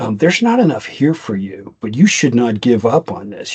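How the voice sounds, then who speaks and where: At a moderate pace and medium pitch, a man speaks with a Boston accent and ordinary pitch variation. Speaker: podcast co-host, IT business consultant. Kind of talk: casual chat. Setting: podcast recording. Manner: rambling with frequent restarts.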